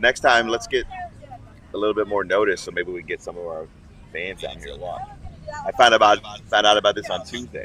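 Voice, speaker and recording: There is noticeable background noise. Through it, a man speaks at a fairly quick pace. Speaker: live stream host. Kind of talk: casual chat. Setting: outdoors on location. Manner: loud.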